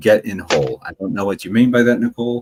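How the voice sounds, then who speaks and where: Here a man has an ordinary speaking voice, fairly low in pitch, with lively intonation at a fairly quick pace. The sound is dry and close, with no echo. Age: 40s. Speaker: livestream host. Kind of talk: casual chat.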